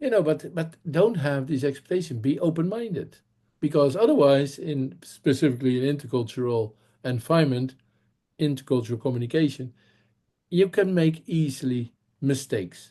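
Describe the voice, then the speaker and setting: A man with a Dutch accent speaks at a moderate pace with lively intonation. His tone is dark and mellow. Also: fairly high pitch for a man. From Netherlands. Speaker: public speaking trainer. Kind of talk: webinar lecture.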